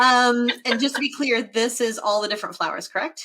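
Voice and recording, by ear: A woman speaks with a bright, sharp tone at a fairly high pitch, with ordinary pitch variation. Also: fairly quick pace.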